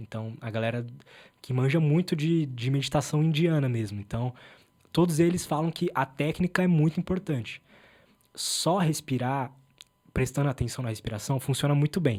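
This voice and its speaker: A man speaks in a fairly high, somewhat breathy voice with a dark, mellow tone. His pitch varies in an ordinary way, in a very clean recording with a silent background. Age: 20s. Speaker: podcast host interviewed as guest. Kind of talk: casual chat. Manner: fast.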